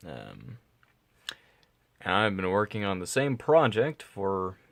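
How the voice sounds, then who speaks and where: Quiet and fairly low in pitch, a man speaks with lively intonation on a very clean recording with a silent background. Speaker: vlogger. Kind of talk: casual vlog monologue. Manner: halting, stuttering.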